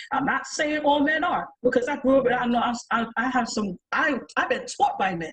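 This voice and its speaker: A woman with a New York accent speaks with a high pitch and an animated tone. Her pitch variation is ordinary. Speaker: panelist. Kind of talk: panel discussion.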